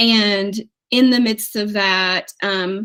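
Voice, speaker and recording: The recording is very clean, with a silent background. The speaker has an East Tennessee accent. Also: woman. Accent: Southern US (East Tennessee). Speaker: financial coach, former teacher. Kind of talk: interview.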